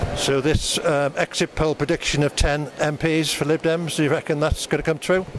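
The delivery is monotone and flat, with hardly any pauses. The sound is dry with no echo, and there is noticeable background noise. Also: man, moderate pace, very even loudness. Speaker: local video reporter interviewing election candidates. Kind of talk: on-the-spot interviews at an election count. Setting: outdoors at polling station, then election count venue. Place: gym.

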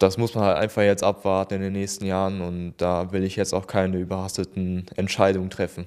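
Hardly pausing, a man talks at a fairly quick pace in a very deep, low pitch with monotone, flat intonation. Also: quiet background. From Germany, Remscheid; Germany. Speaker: paralympic swimmer; interviewee. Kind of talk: interview. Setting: town hall. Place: office. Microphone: handheld.

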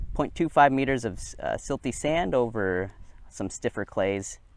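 A man's voice comes through dry, with no echo. His pitch variation is ordinary. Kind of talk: tutorial. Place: open country. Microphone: lapel.

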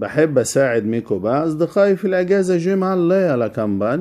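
A man's dark, mellow tone moves through very wide pitch swings. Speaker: French teacher. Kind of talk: tutorial.

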